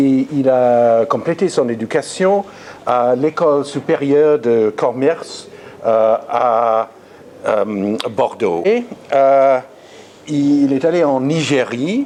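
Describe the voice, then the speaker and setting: A man with an English accent speaks at a very slow pace in a medium pitch, leaving long, frequent pauses. His intonation is lively and his loudness very even, with noticeable background noise and echo-free sound. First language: English (speaking French). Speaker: art historian, lecturer. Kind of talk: lecture. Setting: conference room with audience. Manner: halting, frequent repetitions.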